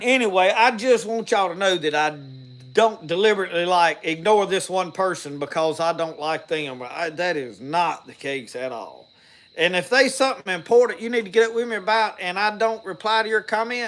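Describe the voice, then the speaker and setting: A man's high voice in a strong Southern US accent, with lively intonation and a fairly quick pace. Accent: thick Southern country. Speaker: outdoors and homestead YouTuber, preacher. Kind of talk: casual live-stream talk to viewers. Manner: rambling, halting with repeated starts.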